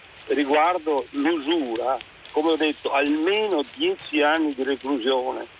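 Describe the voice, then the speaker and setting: A man with a fairly high pitch and ordinary pitch variation, at a very slow pace amid noticeable background noise. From Padua, Veneto. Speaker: caller. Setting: phone call.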